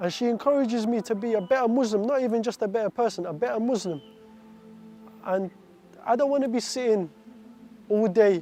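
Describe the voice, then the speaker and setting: Music plays in the background as a man talks at a moderate speed, his pitch varying in an ordinary way. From Iraq, raised from age 7 in an English-speaking country. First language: Arabic. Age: 20s. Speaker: stabbing survivor telling his story. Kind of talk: personal testimony. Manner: halting, with restarts and repetitions.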